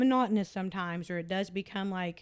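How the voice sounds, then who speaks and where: In a Southern US accent, a woman speaks at a moderate pace with fairly even intonation on a very clean recording with a silent background. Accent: Southern rural accent, noticeable. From Tennessee. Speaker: podcast host. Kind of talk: casual chat. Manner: many fillers and restarts.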